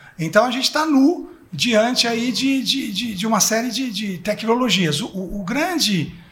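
Amid noticeable background noise and audible room echo, a man with an extremely high pitch talks at a fairly slow pace, using lively intonation and hardly any pauses. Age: 50s. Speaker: advertising executive. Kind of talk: panel discussion. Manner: halting.

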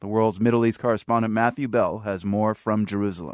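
Speaking with a normal speaking voice at a medium pitch and a fairly quick pace, a man is heard in a very clean recording with a silent background. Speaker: radio news anchor. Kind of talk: news reading, brisk studio newscast intro. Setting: studio. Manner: formal, crisp, measured.

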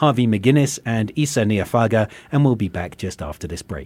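In a very clean recording with a silent background, a man with an English accent speaks at a moderate pace with lively intonation. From England. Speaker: rabbi and radio host. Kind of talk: interview. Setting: radio studio.

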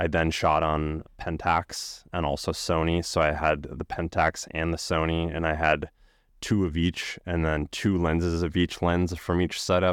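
A man with a very deep, low voice talks fairly slowly in a flat monotone. The recording is very clean, its background silent. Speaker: photographer. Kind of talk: casual chat. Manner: calm, measured.

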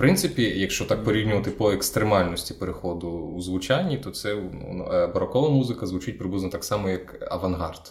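A man with a fairly low pitch speaks at a fairly quick pace with lively intonation over noticeable background noise. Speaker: radio host and interviewer. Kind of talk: interview.

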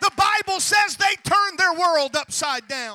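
At a fairly slow pace, a man with an extremely high pitch and bright, sharp tone raises and projects his voice, using ordinary pitch variation. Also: dry, close sound with no echo. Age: 40s. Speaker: pastor. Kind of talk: sermon. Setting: church.

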